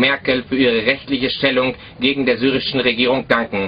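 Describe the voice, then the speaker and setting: The intonation is monotone and flat over light background noise. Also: man. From Germany, North Rhine-Westphalia. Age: 20s. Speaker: army defector. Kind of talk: prepared statement to camera. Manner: formal. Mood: serious, measured.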